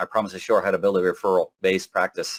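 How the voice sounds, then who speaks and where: Captured in a very clean recording with a silent background, a man speaks at a very fast pace. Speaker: business coach. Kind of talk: live presentation. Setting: live presentation to a group. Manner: animated.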